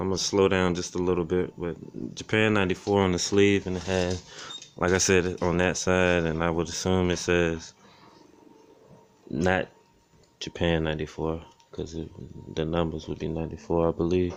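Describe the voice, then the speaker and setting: In an American accent, a man speaks in a flat monotone at a very deep, low pitch, leaving long, frequent pauses, with light background noise. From Florida, US. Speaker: thrift reseller / vlogger; thrift reseller, vlogger. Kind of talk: casual show-and-tell vlog. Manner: fast. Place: home room. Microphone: phone near.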